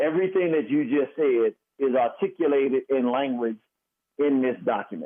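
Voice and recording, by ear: Pitch varies in an ordinary way as the speaker keeps a moderate pace. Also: man.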